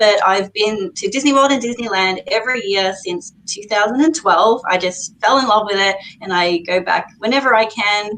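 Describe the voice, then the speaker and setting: A woman with an Australian accent and fairly high pitch, at a moderate pace with hardly any pauses and ordinary pitch variation, over noticeable background noise. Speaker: YouTuber, guest. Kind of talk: casual live chat.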